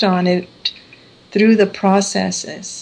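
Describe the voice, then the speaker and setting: At a very slow pace, a woman speaks with a medium pitch. Her pitch variation is ordinary. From international upbringing. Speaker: spiritual trainer. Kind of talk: radio interview.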